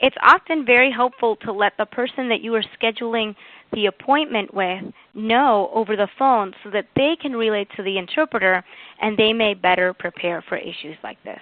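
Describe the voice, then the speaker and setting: In a New England accent, a woman speaks at a moderate pace with a fairly high pitch and ordinary pitch variation. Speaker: webinar presenter. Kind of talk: webinar presentation.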